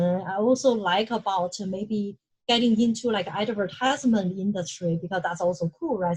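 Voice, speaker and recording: Somewhat breathy, a woman talks at a moderate pace with a slight non-native accent. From China. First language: Chinese. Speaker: UX research manager. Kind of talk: lecture. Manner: halting.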